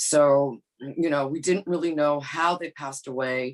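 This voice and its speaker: A woman with a very deep, low pitch talks in a New York accent at a fairly slow pace. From New York (Bronx), Brazilian immigrant family. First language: not English (English her third language). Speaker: behavioral scientist. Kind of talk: podcast interview. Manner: halting, many fillers and repeats.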